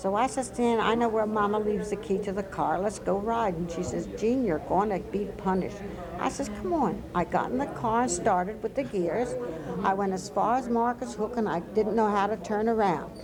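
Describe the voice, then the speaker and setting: A woman with an American accent and an animated tone, medium pitch and ordinary pitch variation at a moderate pace, amid noticeable background noise and audible room echo. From US Mid-Atlantic, Wilmington, Delaware. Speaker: oral history interviewee. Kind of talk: oral history interview. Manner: animated storytelling.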